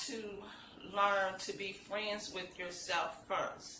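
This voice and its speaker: A woman of medium pitch speaks at a very slow pace. Audible room echo and noticeable background noise fill the recording. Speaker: motivational vlogger. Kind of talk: motivational talk. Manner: casual, animated.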